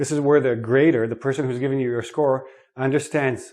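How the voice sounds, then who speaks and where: This man has a normal speaking voice, medium in pitch, moving at a fairly quick pace with fairly even intonation. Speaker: English teacher. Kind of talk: lesson.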